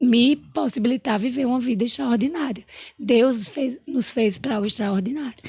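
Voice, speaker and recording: A woman with a high voice at a moderate pace, with ordinary pitch variation. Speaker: entrepreneur and emotional intelligence specialist. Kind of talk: podcast interview.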